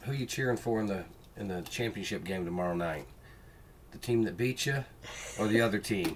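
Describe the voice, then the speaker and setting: A man with a fairly low pitch speaks at a fairly quick pace, broken up by long, frequent pauses. His pitch varies in an ordinary way, and noticeable background noise is present. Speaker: reselling live stream co-host. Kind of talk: casual live stream chat. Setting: live stream. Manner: fast.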